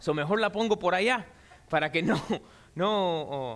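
This man talks in an animated tone, his intonation lively. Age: 40s. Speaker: pastor. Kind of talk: sermon.

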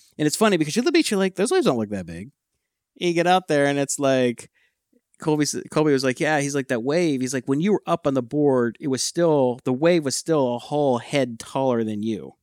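In a very clean recording with a silent background and a dry, close sound with no echo, a man with an American accent uses a normal speaking voice at a fairly high pitch with lively intonation. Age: 50s. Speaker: podcast co-host, tech entrepreneur. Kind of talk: casual chat.

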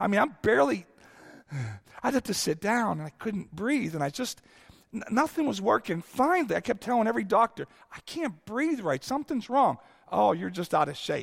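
Animated and fairly quick, a man's high voice makes very wide pitch swings. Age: 50s. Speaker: guest preacher. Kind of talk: sermon.

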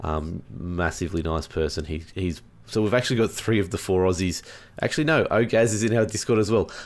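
In a very clean recording with a silent background, a man with an Australian accent speaks in a very deep, low pitch at a fairly quick pace with lively intonation. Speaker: gaming podcast co-host. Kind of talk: casual chat.

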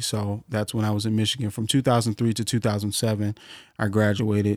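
An unremarkable speaking voice from a man with an American accent, medium pitch and a moderate pace. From Ohio (Cleveland). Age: 30s. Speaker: jazz trumpeter and educator. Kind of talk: casual interview. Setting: studio.

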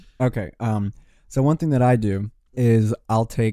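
A man's dark, mellow voice, fairly low in pitch, with an American accent and fairly even intonation, on a very clean recording with a silent background. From Richmond, Virginia. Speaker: music producer and singer. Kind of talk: casual interview.

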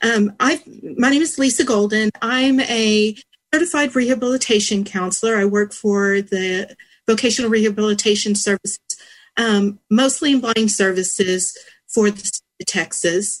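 This woman has an ordinary speaking voice with fairly high pitch and ordinary pitch variation at a moderate pace. Only a quiet background sits behind her. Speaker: diabetes educator copresenter. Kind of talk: webinar presentation.

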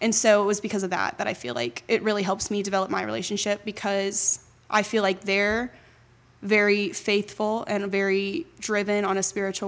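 A normal speaking voice from a woman at a medium pitch, with ordinary pitch variation and a moderate pace. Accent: American. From Jacksonville, Florida. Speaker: college student and incoming intern. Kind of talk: interview, casual conversational.

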